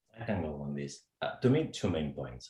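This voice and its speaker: Somewhat breathy, a man with a Spanish accent talks at a moderate pace with lively intonation. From Spain. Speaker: HR executive, program alumnus. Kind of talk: panel discussion. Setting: webcast.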